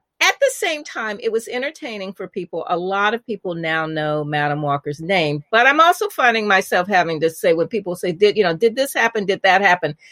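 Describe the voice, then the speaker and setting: A woman with an ordinary speaking voice talks at a fairly quick pace with hardly any pauses, her medium pitch carrying lively intonation in a dry, close sound with no echo. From US Midwest, Indianapolis. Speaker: journalist and author. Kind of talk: interview conversation.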